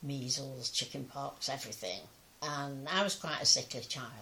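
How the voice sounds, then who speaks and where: A woman with an English accent speaks at a fairly slow pace. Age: 90s. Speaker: pensioner sharing memories. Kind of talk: personal testimony. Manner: halting.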